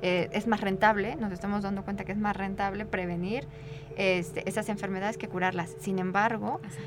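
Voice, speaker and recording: Noticeable background noise surrounds a woman speaking fairly quickly with fairly even intonation. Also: medium pitch for a woman. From Mexico. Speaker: social anthropologist. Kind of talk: radio interview.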